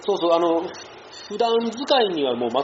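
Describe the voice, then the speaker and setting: Noticeable background noise fills the recording. Over it, a man talks very fast. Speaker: outdoor podcast host. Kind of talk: casual chat. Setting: cafe.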